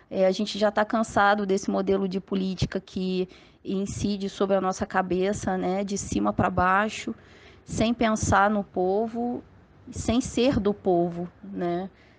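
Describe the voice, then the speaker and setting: A woman with an ordinary speaking voice talks at medium pitch and a fairly slow pace, her intonation fairly even. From Volta Redonda, Rio de Janeiro state, Brazil. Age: 30s. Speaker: politician, history teacher. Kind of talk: interview.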